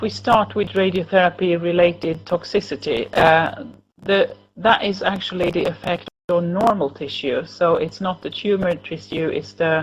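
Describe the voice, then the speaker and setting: A woman speaks at a moderate pace with vocal fry, a fairly low pitch, and ordinary pitch variation. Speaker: cancer nurse and researcher. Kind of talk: lecture. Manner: halting.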